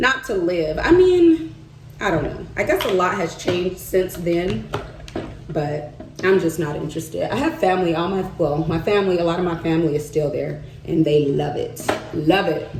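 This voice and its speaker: Amid noticeable background noise and audible room echo, a woman with a slight Southern US accent speaks in an animated tone at a fairly low pitch. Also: ordinary pitch variation, moderate pace. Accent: slight Southern twang. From US South, Arkansas. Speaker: vlogger and market vendor. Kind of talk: casual vlog chat while doing makeup.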